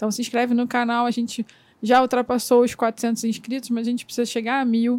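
A woman speaks in a high pitch with monotone, flat intonation. The sound is dry and close, with no echo. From interior of Rio de Janeiro state. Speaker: podcast host, photographer. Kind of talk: casual interview.

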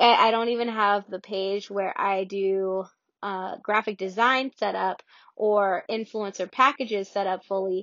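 A woman with an American accent and a medium pitch speaks at a fairly slow pace. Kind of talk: motivational talk. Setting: Clubhouse room with Q&A. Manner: energetic, motivational.

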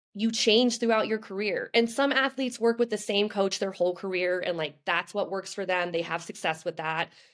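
Medium pitch and ordinary pitch variation from a woman, a plain, everyday voice. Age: 30s. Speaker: professional marathon runner. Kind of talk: casual chat. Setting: video call.

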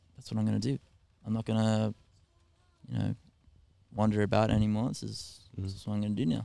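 A man talks at a very fast pace, broken by long, frequent pauses. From Australia. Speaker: musician and electrician. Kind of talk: casual chat. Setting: on a ferry.

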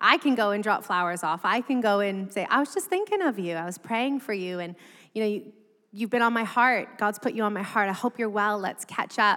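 A medium-pitched woman's voice, bright and sharp in tone, fairly quick, with ordinary pitch variation. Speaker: pastor. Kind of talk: casual chat.

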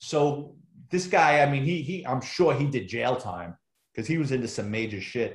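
Speaking with a New York accent in a room with audible echo, a man uses a fairly high pitch, lively intonation and vocal fry. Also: moderate pace. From New York City, the Bronx. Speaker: retired police officer and author. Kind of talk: casual interview conversation.

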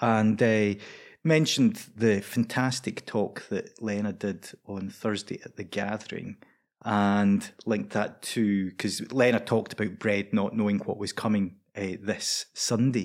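Speaking fairly slowly with a Scottish accent, a man with a fairly low voice keeps his intonation fairly even in a very clean recording with a silent background. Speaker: preacher. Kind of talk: casual chat.

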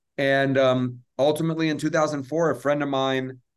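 This man talks at a moderate pace in a medium pitch with an American accent. His intonation is monotone and flat. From US South, Atlanta. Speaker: film producer and social justice advocate. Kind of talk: interview.

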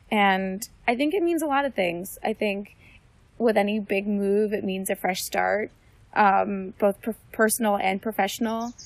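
At a fairly slow pace, a woman with an American accent speaks in a plain, everyday voice at a medium pitch with ordinary pitch variation. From New Jersey. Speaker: medical student. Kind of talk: casual interview. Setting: outdoors in a forest.

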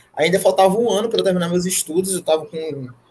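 Against noticeable background noise, a man with a high-pitched voice talks at a fairly quick pace with ordinary pitch variation. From Brazil, Fortaleza. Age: 20s. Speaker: MMA fighter. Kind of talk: casual interview chat. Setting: live stream podcast.

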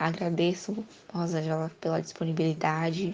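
A woman's fairly low voice, fairly slow and monotone with flat intonation, amid noticeable background noise. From Bahia, Brazil. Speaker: university student interviewer. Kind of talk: interview.

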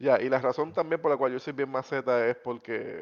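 Talking fairly quickly, this man keeps a monotone, flat intonation throughout. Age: 30s. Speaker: podcast co-host. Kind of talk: casual chat.

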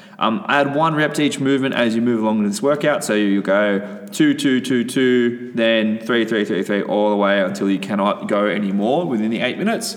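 At a medium pitch and moderate pace, a man speaks in an upbeat tone with ordinary pitch variation and hardly any pauses. His loudness stays very even over noticeable background noise. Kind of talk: fitness class instruction. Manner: brisk, rhythmic, upbeat coach-style delivery, rattling off rep counts; casual, profane, bantering.

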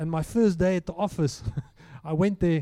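A man talks at a fairly quick pace with a fairly high pitch. His tone is dark and mellow.

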